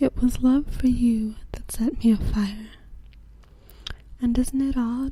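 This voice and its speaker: A soft-spoken woman's high voice, very slow, with fairly even intonation, long, frequent pauses and noticeable background noise. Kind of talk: poetry reading.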